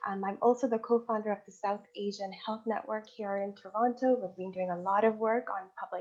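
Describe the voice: The voice has a slightly mellow tone and moves at a fairly quick pace. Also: woman.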